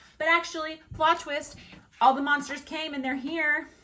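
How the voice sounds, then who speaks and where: A woman talks animatedly while noticeable background noise continues. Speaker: book reviewer and librarian. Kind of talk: casual book review. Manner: fast.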